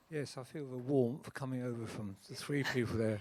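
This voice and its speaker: In a British accent, a man speaks at a medium pitch. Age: 70s. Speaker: audience member. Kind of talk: audience question. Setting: stage with audience.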